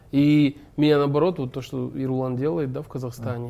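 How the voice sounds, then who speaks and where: Moving at a fairly quick pace, a man talks in a dark, mellow tone with fairly even intonation. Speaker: actor and stuntman. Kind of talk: casual chat.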